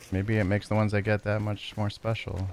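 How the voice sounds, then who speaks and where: Noticeable background noise runs under this recording. A man speaks very fast in a fairly low, monotone, flat voice. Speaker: video game streamer. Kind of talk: live gameplay stream chat.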